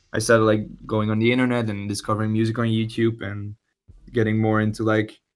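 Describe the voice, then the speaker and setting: A man's very fast, monotone, flat delivery at a fairly low pitch, with music in the background. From Belgium (Dutch-speaking). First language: Dutch. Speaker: musician. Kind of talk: casual interview chat. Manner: halting, many repeated words.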